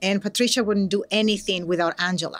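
A woman speaks with a Venezuelan accent. Her intonation is fairly even. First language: Spanish. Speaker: educator and nonprofit program director. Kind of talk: conversational interview. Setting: live recording at a conference. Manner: hesitant, many filler words.

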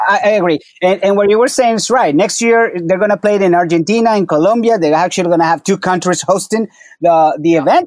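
Speaking at a fairly quick pace, a man uses a high pitch with ordinary pitch variation and very even loudness. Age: 30s. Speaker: soccer podcast host. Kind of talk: casual chat. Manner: animated.

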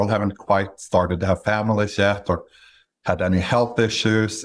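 The intonation is monotone and flat. The speaker has a Norwegian accent. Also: man. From Norway, Stavanger. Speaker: business acquirer and investor. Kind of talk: interview. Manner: measured, with frequent fillers.

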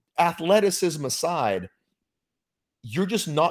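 A man's fairly high voice with vocal fry, lively intonation, and a fairly slow pace. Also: very clean recording, silent background. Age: 40s. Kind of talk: casual chat.

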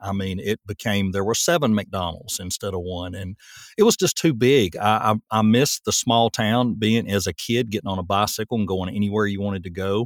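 In a very clean recording with a silent background and a dry, close sound with no echo, a man with a fairly low pitch speaks at a moderate pace with ordinary pitch variation. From Tennessee. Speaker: voice actor. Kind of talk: casual interview.

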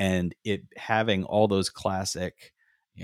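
A normal speaking voice from a man, fairly low in pitch with ordinary variation, dry and close with no echo, on a very clean recording over a silent background. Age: 50s. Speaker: podcast co-host. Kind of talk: casual chat.

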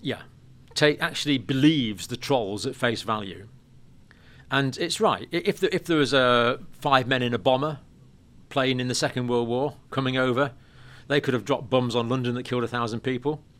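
Speaking with an English accent, a man keeps a medium pitch, ordinary pitch variation and a moderate pace on a very clean recording with a silent background. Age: 60s. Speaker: nurse and health educator. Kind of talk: interview. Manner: halting.

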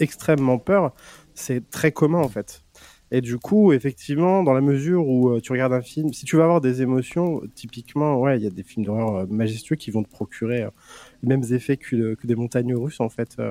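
With a Franche-Comté accent, a man talks at a moderate pace and medium pitch, his tone dark and mellow, his pitch varying in an ordinary way, and the sound dry and close with no echo. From Franche-Comté, France. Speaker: youtuber. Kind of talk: casual chat.

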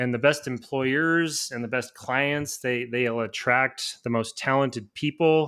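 Recorded very cleanly with a silent background, a man with an American accent has a plain, everyday voice of medium pitch and fairly even intonation. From Nebraska. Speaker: civil engineer and author. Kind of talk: casual interview.

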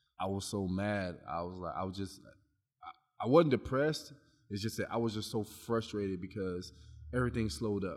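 A man with an American accent and an ordinary speaking voice, fairly low in pitch, at a moderate pace with ordinary pitch variation. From Long Beach, California. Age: 30s. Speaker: personal trainer. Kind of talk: casual chat.

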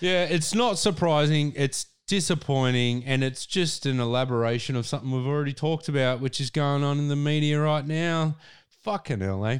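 A man with an Australian accent, fairly high in pitch, with ordinary pitch variation, very even loudness and a very clean recording over a silent background. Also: moderate pace. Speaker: podcast co-host. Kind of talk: casual chat; reading aloud.

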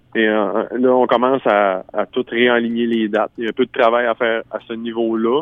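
At a moderate pace and with hardly any pauses, a man speaks in a monotone, flat intonation. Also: medium pitch for a man. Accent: Quebec. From Quebec, Bas-Saint-Laurent. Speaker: singer-songwriter. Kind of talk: radio interview.

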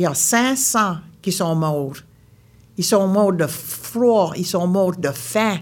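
With an Acadian accent, a woman talks at a medium pitch and lively intonation, at a very slow pace. Long, frequent pauses break up her speech, and audible room echo is present. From Nova Scotia, Baie Sainte-Marie (Acadian). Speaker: storyteller. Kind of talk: storytelling performance. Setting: stage with audience.

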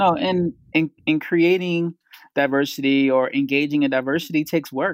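With an American accent, a man speaks in an ordinary speaking voice at a moderate pace and a fairly high pitch, with fairly even intonation. His loudness stays very even, and the sound is dry and close with no echo. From Philadelphia, North Philly. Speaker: tech business co-founder. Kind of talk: casual interview. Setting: remote call.

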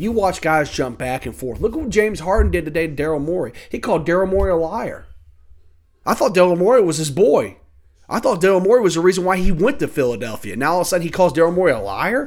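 A man with a high pitch talks at a very fast pace in an animated tone. His intonation is lively. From Louisville, Kentucky. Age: 30s. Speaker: sports podcaster. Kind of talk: casual sports rant.

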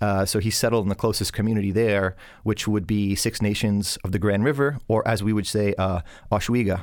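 A man with a Canadian accent and a normal speaking voice talks at a fairly quick pace and fairly low pitch. His intonation is fairly even, his loudness is very even, and the recording is very clean with a silent background. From southern Ontario, Canada (Hamilton area). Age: young. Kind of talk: interview.

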